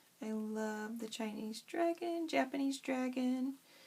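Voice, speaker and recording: Mumbling at a very slow pace, a woman speaks at a high pitch with ordinary pitch variation. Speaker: craft youtuber. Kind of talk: tutorial. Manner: frantic.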